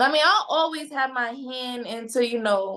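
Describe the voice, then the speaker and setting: A woman speaks with a high pitch. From Baltimore, Maryland, US; moved to Pennsylvania at 12. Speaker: paralegal, model and entrepreneur. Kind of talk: casual interview chat.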